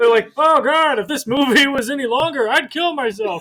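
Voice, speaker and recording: In a put-on character voice, a man speaks at a moderate pace with an extremely high pitch, a grumpy tone and a raised, projected delivery. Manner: grumpy, complaining.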